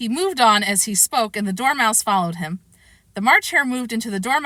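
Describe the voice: The reading aloud is plain, and the pitch varies in an ordinary way.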